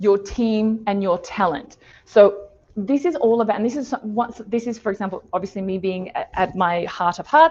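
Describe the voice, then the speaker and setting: Lively intonation at a moderate pace, with an Australian accent. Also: woman, fairly high pitch for a woman. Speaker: design thinking consultant. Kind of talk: webinar presentation.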